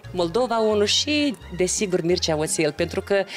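Faint music lingers in the background. Over it, a woman talks. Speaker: guest. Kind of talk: interview answer. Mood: warm, nostalgic. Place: studio. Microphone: handheld.

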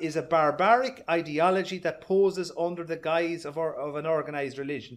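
At a fairly quick pace, a man with an Irish accent and high pitch speaks with ordinary pitch variation. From Ireland. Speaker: party speaker. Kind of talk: rally speech. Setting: party meeting, live audience. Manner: formal. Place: hall. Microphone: camera far.

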